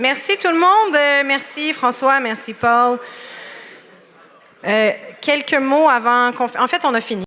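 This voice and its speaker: A woman with a Quebec accent projects a raised, high-pitched voice with lively intonation at a moderate pace, leaving long, frequent pauses. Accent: Québécois French accent in English. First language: French. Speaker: awards ceremony host. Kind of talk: bilingual closing announcements. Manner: casual with hesitations.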